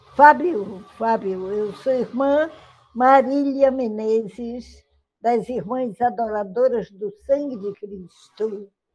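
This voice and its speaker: A woman speaks at a very slow pace and fairly high pitch, with ordinary pitch variation. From northern Brazil, Belém (Pará). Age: 80s+. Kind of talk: interview. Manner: halting.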